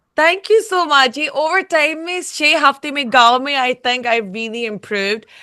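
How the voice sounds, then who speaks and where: A woman projects a raised, high voice. Her tone is bright and sharp, her intonation lively. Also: hardly any pauses. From UK. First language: English (speaking Hindi). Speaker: singer, reality show contestant. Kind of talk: interview. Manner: slow, halting Hindi.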